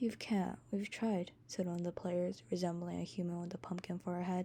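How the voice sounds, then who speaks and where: Her tone dark and mellow, a woman speaks at a moderate pace and medium pitch, sounding somewhat breathy. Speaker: amateur fanfiction author reading own story. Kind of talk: read-aloud fan fiction story. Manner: occasional stutters, slips and uneven breathing.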